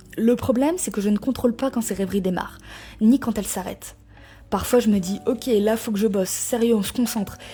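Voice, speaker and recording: At a fairly quick pace, a woman with a fairly high pitch, a dark, mellow tone and a somewhat breathy quality speaks with ordinary pitch variation. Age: 20s. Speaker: YouTuber sharing personal experience. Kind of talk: personal testimony. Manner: casual, informal.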